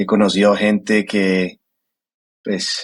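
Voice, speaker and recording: A man with a Colombian paisa accent and monotone, flat intonation, in a dry, close sound with no echo. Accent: Colombian (paisa) accent, kept. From Colombia, Medellín. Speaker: angel investor, sales executive. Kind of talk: podcast interview. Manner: hesitant, many fillers.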